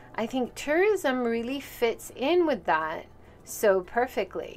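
In a Hawaiian accent, a woman speaks at a fairly slow pace. Her intonation is lively, with music in the background. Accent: American (Hawaii). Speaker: podcast host and tour guide. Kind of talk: solo podcast monologue.

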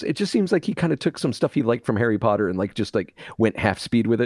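A man at a very fast pace, with very wide pitch swings, very even loudness and hardly any pauses, in a dry, close recording with no echo, very clean against a silent background. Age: 40s. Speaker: podcast co-host. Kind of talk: casual chat. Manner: animated.

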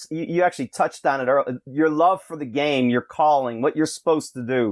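In a normal speaking voice, a man with an American accent talks at a fairly quick pace, with a fairly high pitch and ordinary pitch variation. The recording is very clean, with a silent background and a dry, close sound with no echo. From Rochester area, western New York. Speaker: basketball coach. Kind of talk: casual interview.

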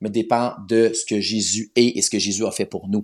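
The pace of this man's speech is moderate. Little sound comes from the quiet background. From Quebec, north shore of Montreal. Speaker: Bible narrator. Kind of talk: interview. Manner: halting, frequent repetitions.

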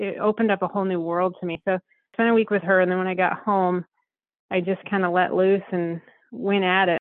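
In an American accent, a woman speaks at a medium pitch with monotone, flat intonation. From Southern Colorado. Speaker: western artist and ranch mother. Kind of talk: casual interview chat.

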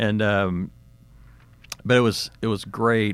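A man talks with an American accent at a fairly low pitch. His intonation is monotone and flat. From Texas. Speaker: retired corporate finance executive. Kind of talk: interview.

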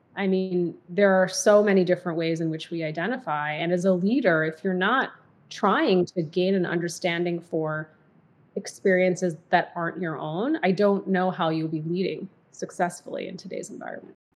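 This is a woman with a General American accent and an ordinary speaking voice, pitched fairly low. Her intonation is fairly even and her pace moderate. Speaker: diversity and inclusion executive, podcaster. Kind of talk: casual interview chat.

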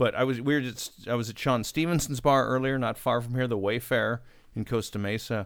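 A man with a normal speaking voice at medium pitch, fairly even intonation and a fairly quick pace. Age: 40s. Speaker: podcast guest. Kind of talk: casual chat.

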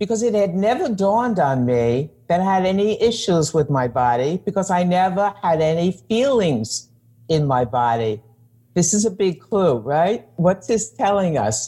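A woman with a New York accent talks at a moderate pace in a dark, mellow, somewhat breathy tone, fairly low in pitch with very wide pitch swings and very even loudness. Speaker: psychologist and coach. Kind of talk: interview conversation.

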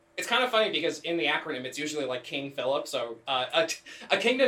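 Through noticeable background noise comes a man speaking with lively intonation. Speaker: podcast co-host. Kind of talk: casual chat. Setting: same room as co-host.

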